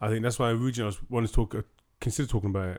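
A man with a British accent speaks at a very fast pace. His pitch is medium. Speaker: podcast host. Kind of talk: casual chat.

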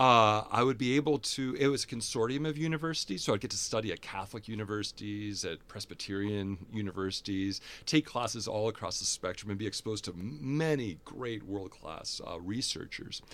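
A man with an American accent, fairly low in pitch, lively in intonation, at a fairly quick pace with hardly any pauses, on a very clean recording with a silent background. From US Midwest, Fargo-Moorhead. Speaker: theology professor and priest. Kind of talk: interview conversation.

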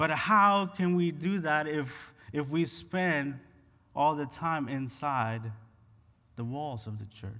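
Very slowly and with long, frequent pauses, a man speaks in a fairly high, bright, sharp voice with lively intonation and audible room echo. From Honduras. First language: Spanish. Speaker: pastor. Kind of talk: sermon. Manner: animated.

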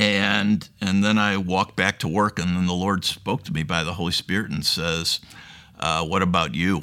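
Bright and sharp in tone, a man's very deep, low voice holds a fairly even intonation. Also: moderate pace. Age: 60s. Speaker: Pentagon civil servant and Bible study leader. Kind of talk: testimony. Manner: halting, with many fillers.

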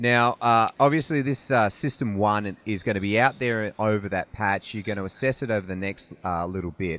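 A man's ordinary speaking voice, fairly low in pitch with ordinary pitch variation, at a moderate pace with hardly any pauses. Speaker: podcast host. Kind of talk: casual interview. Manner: casual, chatty.

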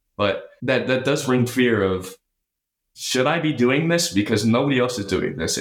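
Audible room echo surrounds a man speaking at a moderate pace. His pitch is medium and varies in an ordinary way. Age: 20s. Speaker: finance student. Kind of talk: interview.

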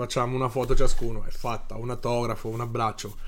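A man at a fairly quick pace with fairly even intonation, an ordinary speaking voice. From Marche, Italy. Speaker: bodyguard. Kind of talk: casual interview.

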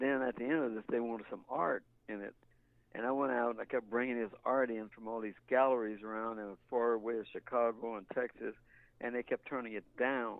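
Monotone, flat delivery at a fairly quick pace. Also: man, medium pitch for a man. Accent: American. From Kansas City, Kansas. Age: 80s+. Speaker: sculptor and former astronaut trainee. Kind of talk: interview storytelling. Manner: rambling, repeats words.

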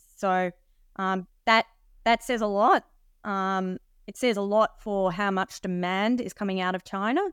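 A woman with an Australian accent speaks at a fairly slow pace in a medium pitch, her intonation fairly even. The sound is dry and close with no echo, on a very clean recording with a silent background. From Australia (Sydney). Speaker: mining company executive. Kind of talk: presentation-style interview.

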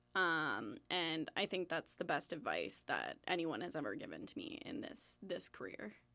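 In a very clean recording with a silent background, a woman with a Canadian accent talks at a fairly slow pace with hardly any pauses, her bright, sharp tone showing vocal fry and very wide pitch swings. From southwestern Ontario, Canada. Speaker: film sound mixer. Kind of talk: interview.

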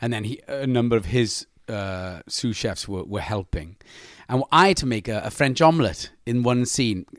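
Recorded very cleanly with a silent background, a man speaks in a Welsh accent. His medium-pitched voice has lively intonation and a moderate pace. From Wales. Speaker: actor. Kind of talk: casual chat.

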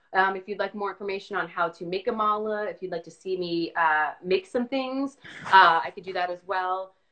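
A woman speaks at a moderate pace in a bright, sharp tone. Her loudness swings widely. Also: medium pitch for a woman, ordinary pitch variation. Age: 40s. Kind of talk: casual chat.

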